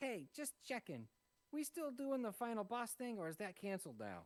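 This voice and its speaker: A man's put-on character voice, high-pitched. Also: moderate pace. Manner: casual, sheepish, checking in.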